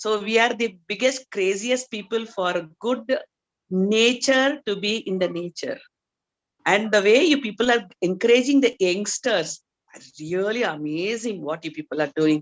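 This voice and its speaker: A woman with a normal speaking voice talks at a moderate pace. Her pitch is fairly high and her intonation lively. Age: 60s. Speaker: doctor. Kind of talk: audience testimony.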